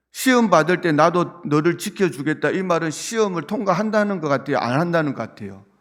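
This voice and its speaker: A man with a Busan accent, high-pitched, at a fairly quick pace with lively intonation and hardly any pauses. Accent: Busan accent in English pronunciation. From South Korea, Busan. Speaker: pastor. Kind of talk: sermon. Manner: conversational, asks congregation questions.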